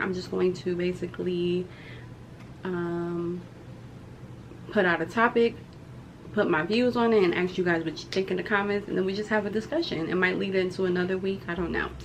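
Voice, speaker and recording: Over noticeable background noise and audible room echo, a woman at a medium pitch talks at a fairly quick pace with ordinary pitch variation and long, frequent pauses. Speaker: YouTuber and criminal justice student. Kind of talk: casual vlog talk to camera. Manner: hesitant, filler-heavy.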